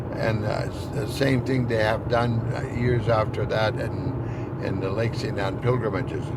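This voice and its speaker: A man of medium pitch in monotone, flat intonation at a fairly slow pace with hardly any pauses, amid audible room echo and noticeable background noise. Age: 70s. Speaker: podcast host, Métis community elder. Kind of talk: personal storytelling monologue. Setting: in a car on the road. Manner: halting, many false starts.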